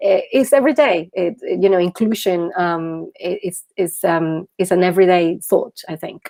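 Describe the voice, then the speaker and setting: In a Venezuelan accent, the speaker talks at a moderate pace with hardly any pauses and ordinary pitch variation. The tone is dark and mellow, and the sound is dry and close with no echo. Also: woman, medium pitch for a woman. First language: Spanish. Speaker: social entrepreneur, founder. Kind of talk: interview. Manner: halting, many fillers and repetitions.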